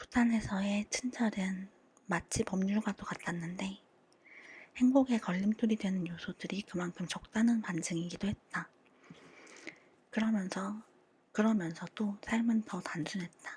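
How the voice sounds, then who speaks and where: A woman's calm tone at medium pitch, fairly slow and fairly even, broken by long, frequent pauses. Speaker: audiobook reader. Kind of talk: audiobook reading for sleep. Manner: calm, soft-spoken.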